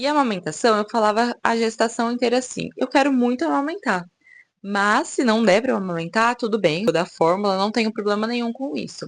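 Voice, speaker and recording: A woman talks in a plain, everyday voice with fairly high pitch and lively intonation. Her pace is moderate against a quiet background. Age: 20s. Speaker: mom vlogger. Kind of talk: personal testimony vlog. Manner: casual, conversational.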